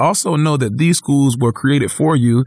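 Against a quiet background, a somewhat breathy man speaks at a very fast pace. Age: 30s. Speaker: city politician. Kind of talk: interview conversation.

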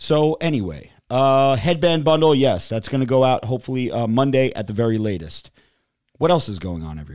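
A man with a medium-pitched voice talks at a fairly quick pace in an animated tone, his pitch swinging very widely and his loudness rising and falling sharply, on a very clean recording with a silent background. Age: 40s. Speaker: podcast host. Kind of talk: casual chat. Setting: studio.

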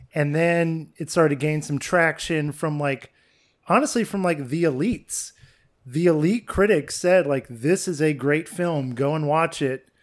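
A man's fairly high pitch, an unremarkable speaking voice, moderate pace, very clean recording with a silent background. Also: ordinary pitch variation. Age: 30s. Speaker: film podcast co-host. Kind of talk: casual chat. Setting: apartment.

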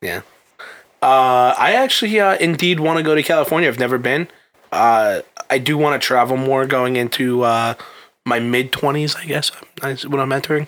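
Speaking at a moderate pace, a man with an unremarkable speaking voice sits at a medium pitch with ordinary pitch variation. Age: 20s. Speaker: recruiter, podcast co-host. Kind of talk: casual chat.

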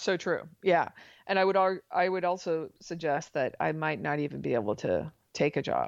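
A woman with an American accent speaks at a moderate pace and a fairly low pitch, with vocal fry. Her pitch varies in an ordinary way, and the background is quiet. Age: 40s. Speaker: mathematician and author. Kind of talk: interview. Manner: halting, many fillers and restarts.

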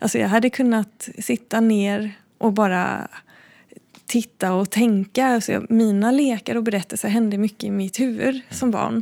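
With a dark, mellow tone and a fairly high pitch, a woman speaks at a moderate pace with fairly even intonation. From Sweden, Blekinge (forest near Backaryd). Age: 30s. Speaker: visual artist. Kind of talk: interview. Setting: art gallery. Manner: hesitant, with fillers.

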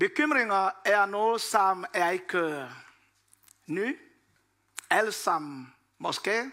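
A raised, projected voice with a bright, sharp tone and a Congolese accent moves at a very slow pace. Its intonation is lively, broken by long, frequent pauses. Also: man, high pitch for a man, very clean recording, silent background. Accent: French-Congolese accent in Danish. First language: French (speaking Danish). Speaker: preacher. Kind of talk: sermon. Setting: church hall with audience. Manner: halting.

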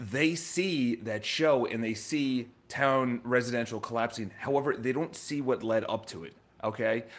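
Animated in tone, a man at medium pitch speaks with ordinary pitch variation. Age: 30s. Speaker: vlogger and real estate agent. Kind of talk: casual monologue vlog. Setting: live stream to camera.

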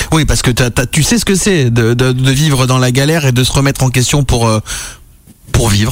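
A man speaks at a fairly quick pace with a medium pitch, ordinary pitch variation and very even loudness. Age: 40s. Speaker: radio host. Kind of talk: casual chat. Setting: studio. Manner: animated.

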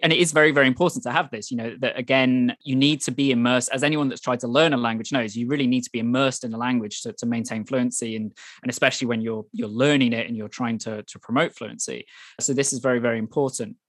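Very fast, fairly even speech with a Welsh accent on a very clean recording with a silent background. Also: man, medium pitch for a man. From Wales. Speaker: journalist and author. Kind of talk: interview. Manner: halting, many repetitions.

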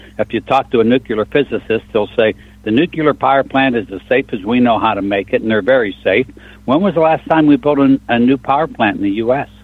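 In a plain, everyday voice, a man speaks at a medium pitch and a fairly quick pace, with ordinary pitch variation. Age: 60s. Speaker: truck engine shop owner. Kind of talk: call-in radio talk show. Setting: phone call.

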